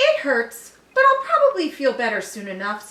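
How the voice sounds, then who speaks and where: A woman performs a put-on character voice pitched high. She keeps a moderate pace. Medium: read story.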